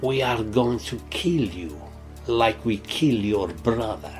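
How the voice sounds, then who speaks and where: A man's put-on character voice at medium pitch and a fairly slow pace, with clear music in the background. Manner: menacing.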